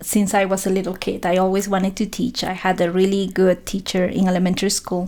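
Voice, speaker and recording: A woman's medium-pitched voice with a dark, mellow tone and a Spanish accent, very fast with hardly any pauses, in a monotone, flat intonation. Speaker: professor. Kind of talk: interview. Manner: hesitant, many fillers.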